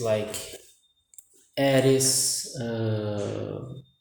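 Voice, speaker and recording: A man speaks in a Brazilian accent with monotone, flat intonation. Audible room echo is present. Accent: non-native English, Brazilian. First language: Portuguese. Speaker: amateur vlogger. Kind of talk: casual monologue vlog. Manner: halting, many fillers.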